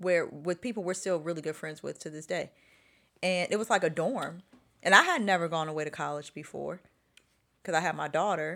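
In a very clean recording with a silent background, a woman with an American accent speaks fairly quickly in a fairly low, bright, sharp voice, keeping her intonation fairly even while her loudness swings widely and she takes long, frequent pauses. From Chicago. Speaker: podcast host. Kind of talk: casual chat. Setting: living room at home.

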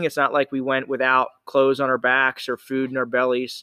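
A man talks at a fairly quick pace in a normal speaking voice. His pitch sits in the medium range. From southeastern Pennsylvania. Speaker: nonprofit founder in addiction recovery. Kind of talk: casual interview. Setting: CrossFit gym, face to face.

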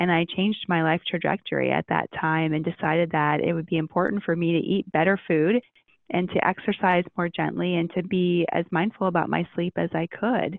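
A woman's fairly low voice with an American accent, a normal speaking voice, fairly quick pace, very even loudness and fairly even intonation. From US Midwest (Ohio). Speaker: integrative medicine doctor. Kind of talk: interview.

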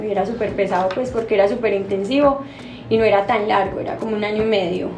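A woman with an Antioquian accent talks at a moderate pace, medium pitch, and fairly even intonation. Music plays in the background, and room echo is audible. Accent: Colombian paisa Spanish. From Colombia, Medellín (paisa). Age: 30s. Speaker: pastry chef and bakery owner. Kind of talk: interview.

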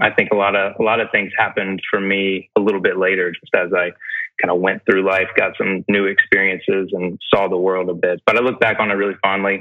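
Talking at a fairly quick pace, a man with an American accent has a fairly low pitch. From US South, Greenville, South Carolina. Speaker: real estate developer. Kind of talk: interview. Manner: animated.

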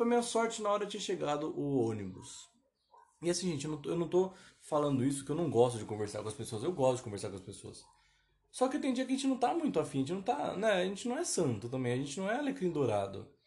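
A man's fairly high voice, very fast, with very wide pitch swings. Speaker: podcast host. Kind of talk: casual monologue. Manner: rambling, self-interrupting.

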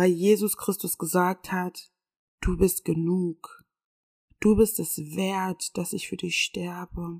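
A woman's medium-pitched, somewhat breathy, warm voice at a very slow pace, flat and monotone, dry and close with no echo, on a very clean recording against a silent background. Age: 20s. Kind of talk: faith-based monologue. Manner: warm, personal.

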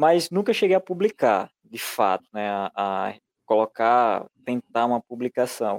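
A man speaks in a normal speaking voice at medium pitch, fairly slow, with lively intonation and a dry, close sound with no echo. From Brazil, rural interior of Pernambuco. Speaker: publisher and illustrator. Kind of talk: podcast interview. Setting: live stream.

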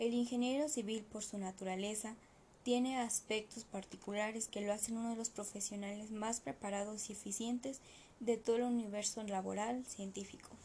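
A woman's fairly high voice has a dark, mellow tone, is somewhat breathy, and keeps a fairly even intonation. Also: moderate pace. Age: 20s. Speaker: civil engineer. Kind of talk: reading aloud. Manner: formal.

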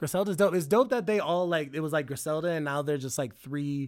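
An ordinary speaking voice at a fairly quick pace with ordinary pitch variation, on a very clean recording with a silent background. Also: man. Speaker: rapper. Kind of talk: casual chat with friends.

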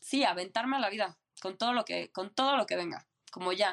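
The woman's pace is moderate and her pitch varies in an ordinary way. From Mexico City. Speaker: traveler, former nomad. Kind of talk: interview conversation.

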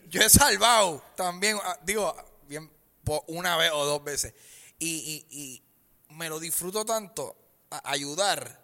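A man's bright, sharp, high-pitched voice in a Puerto Rican accent, very slow with long, frequent pauses and ordinary pitch variation. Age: 30s. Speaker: stand-up comedian. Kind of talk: casual chat.

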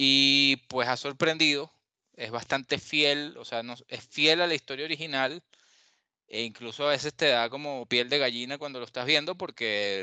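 Against a quiet background, a man with a Venezuelan accent speaks at a moderate pace in a bright, sharp tone with a dry, close sound and no echo. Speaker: journalist. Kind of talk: casual chat.

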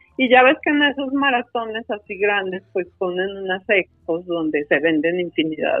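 A woman talks with a Mexican accent. Her intonation is lively. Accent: Mexican Spanish (Jalisco). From Mexico, Guadalajara, Jalisco. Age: 50s. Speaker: ultramarathon runner and speaker. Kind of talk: interview conversation.

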